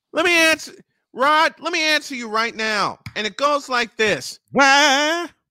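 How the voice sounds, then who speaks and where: On a very clean recording with a silent background, a raised, projected voice comes through with an animated, bright, sharp tone, ordinary pitch variation, and a fairly slow pace. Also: man, extremely high pitch for a man. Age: 50s. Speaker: sports radio host. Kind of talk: casual chat.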